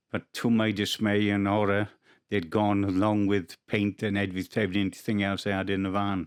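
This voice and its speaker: A man in a South Wales accent talks at a moderate pace. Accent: Welsh (South Wales). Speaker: rugby autograph collector. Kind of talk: testimony. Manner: halting.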